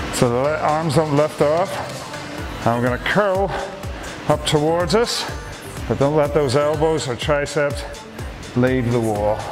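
Clear music plays in the background as a man speaks at a fairly slow pace with long, frequent pauses. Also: ordinary pitch variation. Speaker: fitness instructor. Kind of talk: workout instruction. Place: gym.

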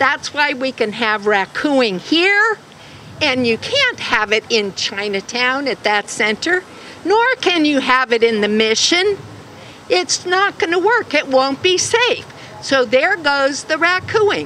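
A woman's raised, projected voice with very wide pitch swings, a fairly slow pace, a dry sound with no echo and light background noise. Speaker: speaker. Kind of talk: rally speech. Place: street. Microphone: podium.

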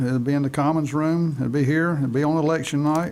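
A man with a North Carolina accent talks at a fairly high pitch with fairly even intonation. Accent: Southern US (North Carolina). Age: 60s. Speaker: school board chair. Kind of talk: public meeting. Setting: meeting room. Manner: halting.

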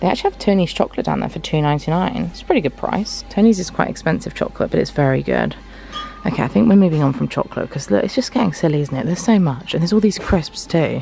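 A woman speaks at a very fast pace on a dry recording with no echo. Faint music plays in the background. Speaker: vlogger. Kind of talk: casual vlog chat. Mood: excited, chatty. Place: shop. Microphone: phone near.

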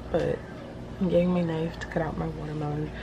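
Over clear background noise, a woman talks at a fairly quick pace in a low pitch with vocal fry and little pitch movement.

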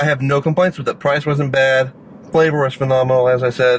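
The speech moves at a fairly quick pace with ordinary pitch variation. Light background noise sits behind it. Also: man. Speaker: food reviewer. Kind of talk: casual vlog chat. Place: car. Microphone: phone near.

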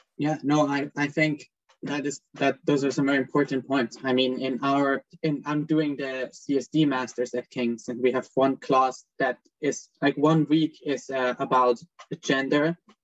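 Against a quiet background, a man speaks at a fairly slow pace in a monotone, flat intonation. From Switzerland. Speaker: student moderator. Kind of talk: panel moderation. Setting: video call. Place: home room. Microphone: video call.

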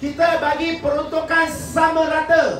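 A high-pitched man's voice comes through with audible room echo and light background noise. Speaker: politician. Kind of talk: political rally speech. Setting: stage with audience. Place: hall. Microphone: pa.

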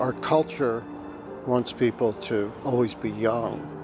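With music in the background, a man talks with ordinary pitch variation in a dry recording that has no echo. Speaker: priest. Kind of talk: interview answer. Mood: reflective, warm. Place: church.

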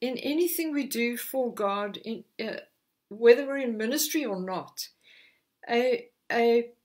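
In a quiet setting, a woman speaks at a high pitch. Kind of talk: sermon. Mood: warm, earnest. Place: home room. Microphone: lapel.

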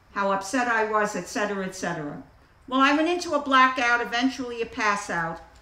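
A woman with an American accent speaks high and lively at a moderate pace. Noticeable background noise runs behind her. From the Bronx, New York City. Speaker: AA circuit speaker. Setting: outdoor picnic with live audience. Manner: animated, wry and warm storyteller with comic timing, pausing for laughs.

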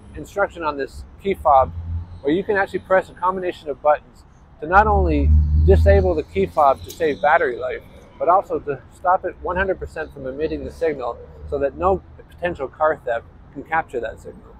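A man speaks at a fairly quick pace, the sound dry with no echo and light noise in the background. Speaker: presenter. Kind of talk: tutorial. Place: street.

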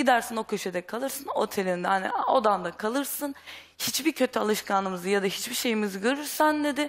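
The pace is fairly quick. Intonation rises and falls in a lively way. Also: woman. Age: young. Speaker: runaway daughter; talk show guest. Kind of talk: testimony. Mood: upset, earnest. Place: studio. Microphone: headset.

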